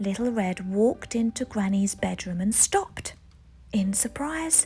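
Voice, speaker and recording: Music plays behind a woman speaking at a fairly slow pace, her medium pitch showing ordinary variation. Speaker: parent reading to children. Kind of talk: children's picture book read-aloud.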